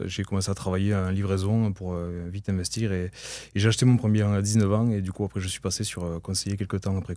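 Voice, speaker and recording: The background is silent and the recording very clean. A man talks in a dark, mellow tone. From southern France, Tarn (near Albi). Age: 20s. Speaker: real estate agent. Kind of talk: podcast interview. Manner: hesitant, many fillers.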